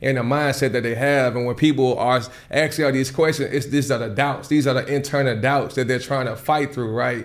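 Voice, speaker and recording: A man with a medium pitch and fairly even intonation talks in a space with audible room echo. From US South, Nashville, Tennessee. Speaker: tech bootcamp co-founder. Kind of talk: casual interview conversation.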